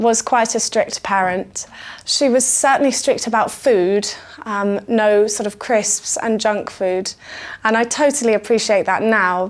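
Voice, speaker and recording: Fairly slow speech from a woman, pitched fairly high, its pitch varying in an ordinary way. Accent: British. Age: 20s. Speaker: music student. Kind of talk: interview answer.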